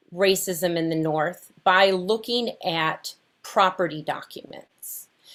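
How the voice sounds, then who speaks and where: Her tone is bright and sharp, with a slight Wisconsin accent and ordinary pitch variation. The woman talks at a very slow pace. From Wisconsin, US (Fond du Lac). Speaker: researcher leading a justice project. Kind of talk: panel conversation.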